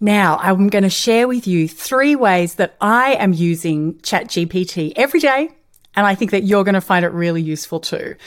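At a moderate pace, a woman with a medium pitch speaks in an upbeat, animated tone with lively intonation. The recording is very clean, with a silent background. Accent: Australian. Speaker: podcast host, change management consultant. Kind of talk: solo podcast talk.

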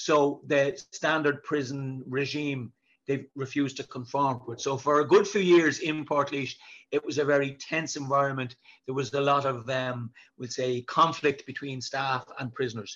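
A man's fairly high voice with fairly even intonation, against a quiet background. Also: moderate pace. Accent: Dublin. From Dublin, Ireland (South Inner City). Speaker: prison governor. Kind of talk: interview.

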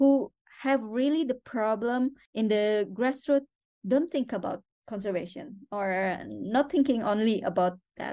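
Against a quiet background, a woman with an Indonesian accent speaks fairly slowly in a fairly high voice with a dark, mellow tone and ordinary pitch variation. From Indonesia (West Borneo). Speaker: conservation organization director. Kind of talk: interview. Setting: remote call from a hotel.

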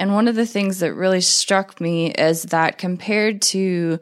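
A woman's normal speaking voice, fairly low in pitch and at a fairly slow pace, with ordinary pitch variation on a very clean recording with a silent background. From North Carolina, Jacksonville. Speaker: occupational therapy professor. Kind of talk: interview.

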